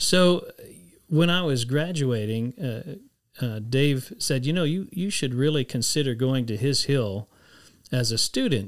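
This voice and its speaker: Speaking in a Texan accent at a fairly slow pace, a man of medium pitch leaves long, frequent pauses in a very clean recording with a silent background. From Texas, San Antonio. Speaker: former ministry staff member. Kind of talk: interview.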